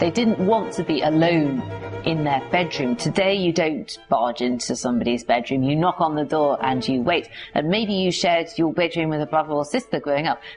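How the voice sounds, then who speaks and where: Over music in the background, the speaker uses an enthusiastic tone and lively intonation at a moderate pace with very even loudness. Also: woman, very deep, low pitch for a woman. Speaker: historian, museum curator. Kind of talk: book promotion talk to camera. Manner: enthusiastic, chatty.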